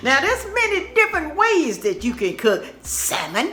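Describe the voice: A woman with a Southern US accent speaks at a fairly slow pace with very wide pitch swings. Music plays in the background. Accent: country Southern.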